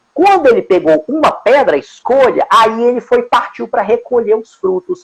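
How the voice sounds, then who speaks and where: The man's pitch is extremely high and swings very widely. The sound is dry and close, with no echo. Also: moderate pace. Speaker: judge and author, guest speaker. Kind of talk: live-stream interview talk. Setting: Instagram live video call. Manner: halting, many repetitions.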